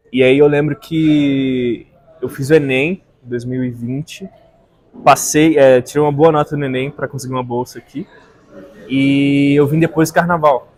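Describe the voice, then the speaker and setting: Moderate pace, fairly even intonation, and long, frequent pauses. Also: man, fairly high pitch for a man. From Brazil, Brasília. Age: 20s. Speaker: philosophy student. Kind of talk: casual chat.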